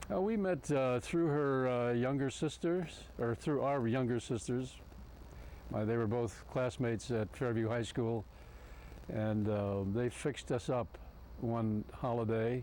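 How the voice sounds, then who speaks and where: The voice has a dark, mellow tone and moves at a fairly slow pace. Its loudness stays very even, and the pitch varies in an ordinary way. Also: man, medium pitch for a man. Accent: Midwestern American. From Ohio, Cincinnati. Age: 70s. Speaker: retired advertising executive, club member. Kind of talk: oral history interview. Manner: halting, many fillers.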